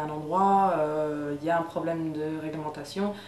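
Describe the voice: A woman's low voice with fairly even intonation, a slightly mellow tone and audible room echo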